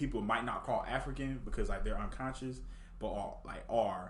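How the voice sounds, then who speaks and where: There is audible room echo as a man with an American accent speaks at a moderate pace. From Houston, Texas. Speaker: university student. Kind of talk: casual interview. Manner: halting, with frequent repetitions.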